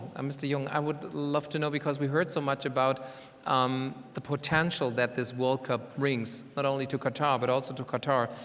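A man talks at a moderate pace in a monotone, flat intonation. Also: medium pitch for a man. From Germany. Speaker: panel moderator and TV business correspondent; panel moderator, TV business correspondent. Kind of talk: panel moderation. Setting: stage with audience. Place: stage. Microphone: lapel.

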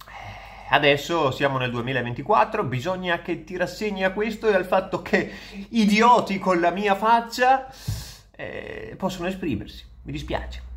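With lively intonation and big swings in loudness, a man talks at a fairly slow pace in a high pitch. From Veneto, northern Italy. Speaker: content creator. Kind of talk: casual monologue reacting to comments. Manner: hesitant, with fillers. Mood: ironic, amused. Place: home room. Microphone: phone near.

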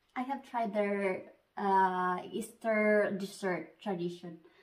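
Behind her everything is quiet. The woman talks at a very slow pace. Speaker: vlogger. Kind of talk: casual vlog chat. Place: home room. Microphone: phone near.

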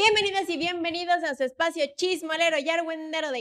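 Bright and sharp in tone, a woman speaks animatedly at a moderate pace with ordinary pitch variation against a quiet background. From Mexico. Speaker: football podcast host; podcast host. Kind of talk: casual chat. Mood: playful gossipy banter. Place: studio. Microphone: studio mic.

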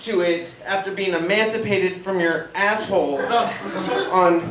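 A high-pitched man talks over noticeable background noise. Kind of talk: comedy roast speech. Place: stage.

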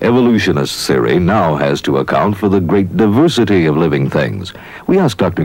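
Over noticeable background noise, a man talks at a moderate pace. His very deep, low pitch swings very widely. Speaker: narrator. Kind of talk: scripted narration.

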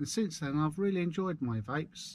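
Spoken at a fairly quick pace with a Suffolk accent and lively intonation, the dry sound has no echo and light background noise. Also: man. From Suffolk, eastern England; eastern England. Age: 40s. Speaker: vlogger. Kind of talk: casual driving vlog monologue. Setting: in a van. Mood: relaxed, chatty. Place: car. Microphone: camera far.

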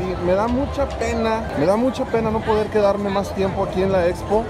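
A fairly quick pace with clear music in the background. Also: man. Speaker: runner vlogger. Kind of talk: casual vlog chat. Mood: excited, impressed. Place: hall. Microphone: phone near.

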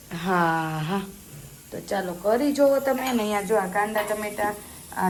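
A woman's fairly high voice, with audible room echo and noticeable background noise. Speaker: family vlogger. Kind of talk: cooking tutorial; casual family vlog. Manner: animated.

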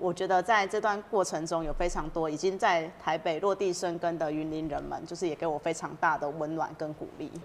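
A fairly low-pitched woman with a Taiwanese accent, fairly quick and nearly pause-free, with fairly even intonation over light background noise. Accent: Taiwanese Mandarin. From Taiwan, Yunlin County. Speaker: city council candidate. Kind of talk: interview. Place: studio. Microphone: lapel.

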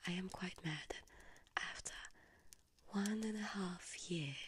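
Whispering comes from a woman. Her pace is very slow. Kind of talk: emotional monologue addressed to camera. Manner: soft ASMR voice, annoyed and hurt. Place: home room.

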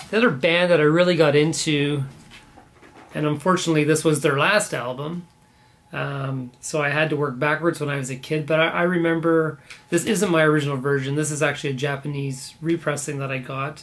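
In a Canadian accent, a man speaks quite quickly at a fairly high pitch with fairly even intonation. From Canada, born in Belfast. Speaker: vinyl record collector YouTuber. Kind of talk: casual video monologue about records. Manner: casual with many fillers. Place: home room.

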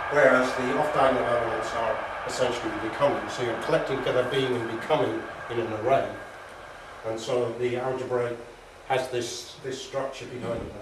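The speech moves at a fairly quick pace, with audible room echo and noticeable background noise. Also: man. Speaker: lecturer. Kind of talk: lecture. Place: meeting room. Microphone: camera far.

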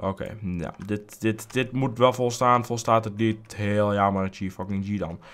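Speaking at a moderate pace with hardly any pauses, a man with fairly low pitch keeps his intonation fairly even. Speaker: gaming youtuber. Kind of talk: let's play commentary. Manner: casual, rambling with fillers.

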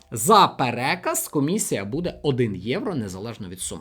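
Very wide pitch swings and vocal fry from a man. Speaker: finance video blogger. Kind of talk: tutorial.

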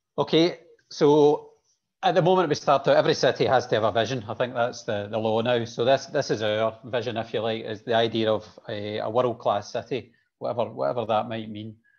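In a Scottish accent, a man at medium pitch talks at a fairly quick pace with ordinary pitch variation, over a quiet background. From Scotland. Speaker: city planner; presenter. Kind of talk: presentation. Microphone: video call.

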